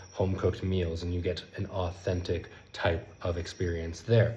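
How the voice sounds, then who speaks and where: Very deep, low male voice amid audible room echo and noticeable background noise. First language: not Spanish; Spanish is his third language. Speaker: language learning content creator. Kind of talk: casual vlog monologue. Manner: fast.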